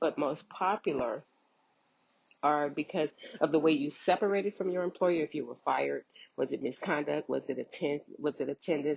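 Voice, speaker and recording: A woman with a very deep, low pitch and vocal fry speaks at a moderate pace with ordinary pitch variation. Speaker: unemployment claims worker. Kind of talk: informational vlog. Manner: hesitant, filler words.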